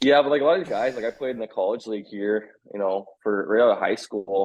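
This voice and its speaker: With a Canadian accent, a man with a normal speaking voice talks at a fairly quick pace and a medium pitch, with ordinary pitch variation. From Canada (Saskatchewan). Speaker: former college baseball player. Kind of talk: casual chat.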